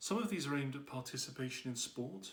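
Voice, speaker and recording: This man talks at a very fast pace. His voice is somewhat breathy. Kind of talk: personal commentary to camera.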